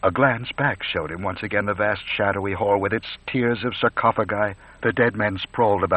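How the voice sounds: Fairly even intonation in a natural reading voice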